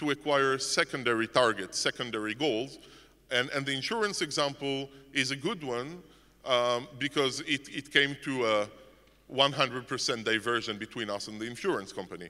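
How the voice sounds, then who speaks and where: A man's bright, sharp voice sits fairly high, moving with lively intonation at a moderate pace. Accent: non-native. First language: not English. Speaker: conference speaker. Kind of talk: conference talk. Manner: halting, many repetitions and fillers.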